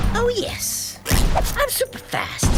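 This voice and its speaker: An extremely high, cartoonish character voice comes through over loud background noise. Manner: cocky, boastful.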